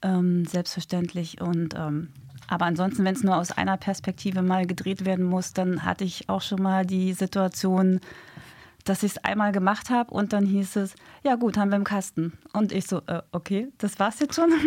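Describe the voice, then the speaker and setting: A woman speaks at a moderate pace and medium pitch in an ordinary speaking voice, her intonation fairly even. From Hamburg, northern Germany. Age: 40s. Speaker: police detective and dating mentor. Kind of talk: radio interview. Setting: radio studio.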